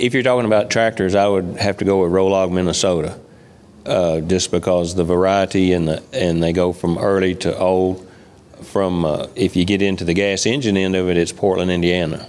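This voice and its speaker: A man speaks at a moderate pace with a very deep, low pitch, very even loudness and fairly even intonation. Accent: Kentucky. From western Kentucky. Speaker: farmer and tractor collector. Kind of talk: casual interview. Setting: studio with live audience.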